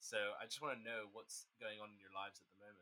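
Fairly quick and bright, a man speaks in a sharp tone at a medium pitch. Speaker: podcast host. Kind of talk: casual chat. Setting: video call.

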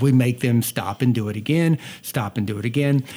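A man speaks with a Southern US accent and a dark, mellow tone. His pitch variation is ordinary. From US South, North Georgia. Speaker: podcast host and family video creator. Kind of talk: casual chat. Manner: fast talker.

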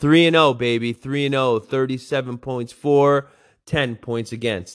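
In a plain, everyday voice, a man talks at a fairly slow pace and a medium pitch, his intonation fairly even. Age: 40s. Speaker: gaming league podcast host and high school football coach. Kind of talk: casual solo recap of a video game league. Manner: casual with frequent fillers.

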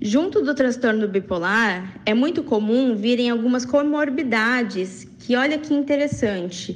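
A woman's high-pitched voice at a fairly slow pace, with very even loudness and audible room echo. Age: 20s. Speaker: radio contributor on bipolar disorder. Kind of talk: personal testimony and informative talk.

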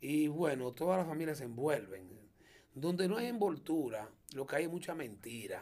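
A dark, mellow tone carries very wide pitch swings at a moderate pace. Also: man, fairly high pitch for a man. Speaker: comedian and auto mechanic. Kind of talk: interview.

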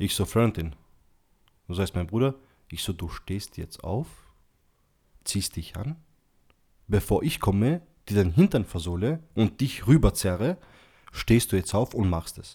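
Against a silent background in a very clean recording, a man speaks with a dark, mellow, somewhat breathy tone and a fairly low pitch. His intonation is lively, with long, frequent pauses. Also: moderate pace, big swings in loudness. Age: 20s. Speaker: podcast guest. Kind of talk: casual chat.

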